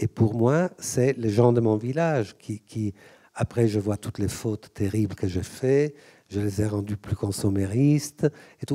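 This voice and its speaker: In a dry, close sound with no echo, a man with a dark, mellow tone speaks at a fairly slow pace with ordinary pitch variation. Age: 60s. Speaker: author and collector. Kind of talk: public talk. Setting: museum auditorium with audience. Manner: halting, repetitive.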